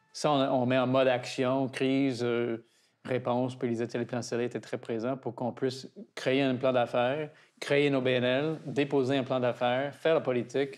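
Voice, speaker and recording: Here is a man with an English accent and a medium pitch. His intonation is monotone and flat. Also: moderate pace. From Toronto, Canada. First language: English (speaking French). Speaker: garden director, founder's grandson. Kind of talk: interview. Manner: halting.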